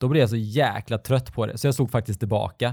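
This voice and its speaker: With ordinary pitch variation and a medium pitch, a man talks in a normal speaking voice. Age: 40s. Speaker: podcast co-host. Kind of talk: casual chat.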